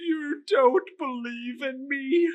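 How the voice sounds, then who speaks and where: In a put-on character voice, a female-sounding speaker pitches her voice high. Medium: read story. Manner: slow, grave, terse.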